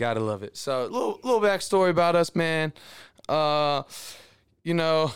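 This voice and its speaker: This man sounds animated, with lively intonation at a fairly high pitch. The recording is very clean with a silent background. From Houston, Texas. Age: 20s. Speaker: sports podcast host. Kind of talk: casual chat.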